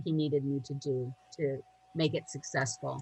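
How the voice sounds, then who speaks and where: A woman talks at a moderate pace, somewhat breathy. Her intonation stays fairly even. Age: 60s. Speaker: coach for speakers. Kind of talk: interview.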